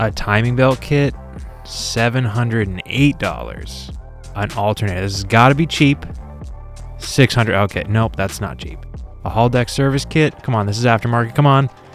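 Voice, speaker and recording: Music runs in the background. A man talks at medium pitch and a moderate pace. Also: ordinary pitch variation. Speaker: motorcycle mechanic. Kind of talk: casual talk to camera.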